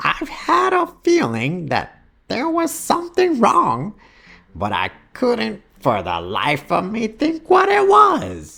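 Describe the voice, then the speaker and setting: Putting on a character voice, a man speaks with a high pitch. His pace is very slow. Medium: read story.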